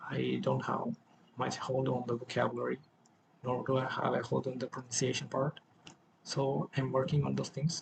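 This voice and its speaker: A man at a moderate pace, amid noticeable background noise. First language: not English. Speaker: self-improvement vlogger. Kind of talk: personal vlog monologue. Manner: halting, with self-corrections.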